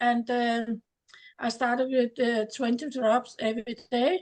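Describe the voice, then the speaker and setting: With a Danish accent, a woman speaks very slowly at a fairly high pitch and with fairly even intonation. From Denmark. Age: 70s. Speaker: distributor giving product testimony. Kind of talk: testimony. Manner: halting, many hesitations.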